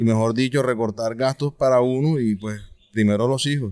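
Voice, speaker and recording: This man has an unremarkable speaking voice, with medium pitch, a moderate pace and fairly even intonation. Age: 30s. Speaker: father. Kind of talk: interview.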